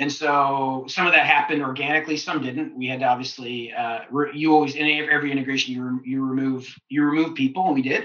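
With a Canadian accent, a man talks very fast at a fairly high pitch, his intonation flat and monotone, with hardly any pauses. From Canada (Ontario). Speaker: business executive and entrepreneur. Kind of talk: interview.

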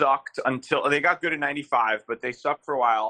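A man with an American accent speaks at a moderate pace and a fairly high pitch, with fairly even intonation. His tone is bright and sharp, and the sound is dry and close with no echo. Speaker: sports fan and social media personality. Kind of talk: casual chat.

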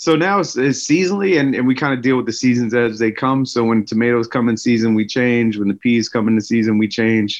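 A man with a plain, everyday voice and an American accent talks at a fairly quick pace with hardly any pauses, keeping medium pitch, ordinary pitch variation and very even loudness. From West Philadelphia. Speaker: chef and restaurant owner. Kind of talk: casual interview.

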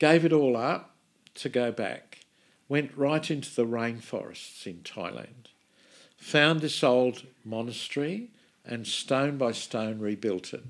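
Speaking in an Australian accent, a man talks at a very slow pace with ordinary pitch variation. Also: medium pitch for a man. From Sydney, Australia. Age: 70s. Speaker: minister and charity founder. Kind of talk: casual interview conversation.

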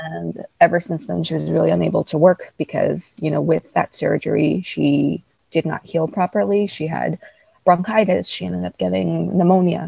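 A woman with a New York accent at a moderate pace, in a dry, close sound with no echo. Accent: New York American. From Queens, New York. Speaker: writer and guest. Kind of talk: interview conversation.

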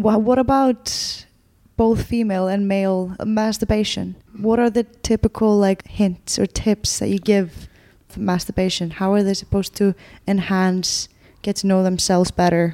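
Dry and close with no echo, the very clean recording has a silent background. A woman speaks at a medium pitch and moderate pace, her dark, mellow tone set in fairly even intonation. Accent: Icelandic. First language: Icelandic. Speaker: podcast host. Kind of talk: interview.

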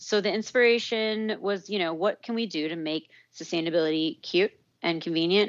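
A woman's voice with fairly even intonation at a moderate pace. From US Southwest, Santa Fe, New Mexico. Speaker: company founder and CEO. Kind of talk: interview. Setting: remote call. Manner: casual, lots of fillers.

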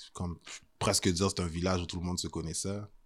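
A voice with vocal fry, captured in a very clean recording against a silent background. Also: man. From Montreal, Quebec (Saint-Michel). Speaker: historian and tour guide. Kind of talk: casual interview.

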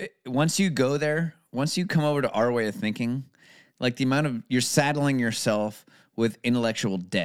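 On a very clean recording with a silent background, there is an ordinary speaking voice with ordinary pitch variation, delivered at a moderate pace. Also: man, medium pitch for a man. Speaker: podcast co-host. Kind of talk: casual chat.

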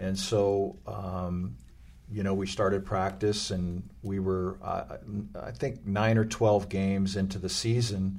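Amid audible room echo, a man with an American accent talks at a very slow pace with a fairly low pitch and ordinary pitch variation. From US West Coast, Los Angeles. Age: 60s. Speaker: former pro basketball player and youth club leader. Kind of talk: interview conversation.

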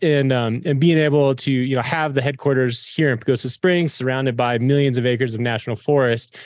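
A man with an American accent speaks fairly quickly in an ordinary speaking voice, medium in pitch, with ordinary pitch variation against a quiet background. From Colorado Front Range. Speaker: company executive and former mountain guide. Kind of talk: interview.

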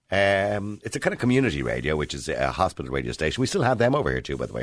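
Speaking very fast with an Irish accent, a man swings his pitch very widely, his voice catching in vocal fry. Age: 50s. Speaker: talk radio host. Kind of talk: radio interview; radio monologue. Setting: studio.

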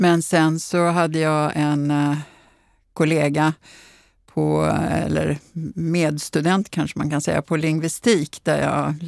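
A woman's very deep, low voice, with dry, close sound with no echo and a very clean recording over a silent background. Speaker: professor of bilingualism. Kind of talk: interview conversation.

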